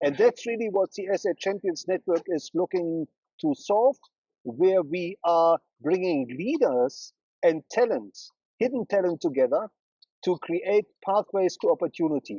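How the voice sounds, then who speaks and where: With a German accent, a man speaks at a high pitch and a fairly slow pace, using lively intonation. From Germany, Berlin. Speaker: brand strategist. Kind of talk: interview. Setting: studio.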